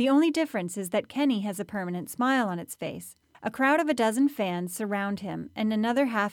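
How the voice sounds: The speaker reads in a natural voice, and the intonation is lively.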